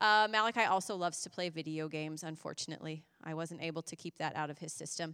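At a very fast pace, a bright, sharp voice with an American accent and ordinary pitch variation comes through on a very clean recording with a silent background. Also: woman. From US Midwest, Indiana. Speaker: missionary. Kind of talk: church presentation. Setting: church service.

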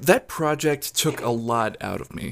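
A man talks at a very slow pace. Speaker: podcast host. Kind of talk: casual solo monologue. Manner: showy performance voice.

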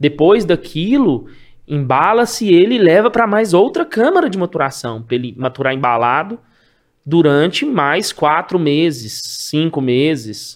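Pitch swings very widely in this man's fairly high voice. He speaks at a fairly slow pace. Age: 40s. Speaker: cheese wholesaler. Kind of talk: casual interview chat.

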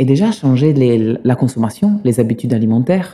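A man with an Italian accent speaks at a fairly quick pace. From Sicily, Italy. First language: Italian (speaking French). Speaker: pizza chef. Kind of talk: interview. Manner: halting.

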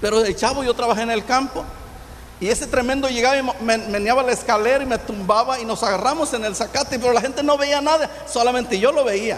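The delivery comes at a very fast pace with fairly even intonation. Noticeable background noise runs underneath. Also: man, extremely high pitch for a man. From Michoacán, Mexico. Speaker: pastor. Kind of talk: testimony.

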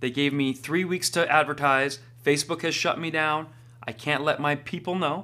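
Here a man speaks with a fairly high pitch and a bright, sharp tone. His delivery is animated. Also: moderate pace. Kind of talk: stand-up comedy: cocky, punchline-driven riff on his booking rise, with live-show asides. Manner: animated, brash, brag-as-joke delivery.

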